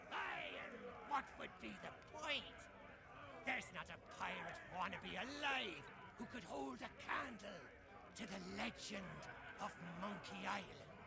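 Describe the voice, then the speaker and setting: Over loud background noise, a man uses a high-pitched, put-on character voice at a fairly slow pace with long, frequent pauses. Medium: video game.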